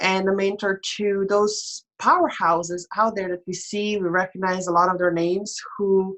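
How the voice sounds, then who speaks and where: A woman with a European accent speaks at a fairly slow pace. Her medium-pitched voice has flat, monotone intonation. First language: non-English European language. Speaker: life coach and mentor. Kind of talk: casual interview chat. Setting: live online stream.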